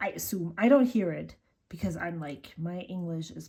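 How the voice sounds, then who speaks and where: Fairly low-pitched female voice with a German accent, a dark, mellow tone, vocal fry, ordinary pitch variation and a moderate pace. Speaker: journaling vlogger. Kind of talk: casual chat. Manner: halting.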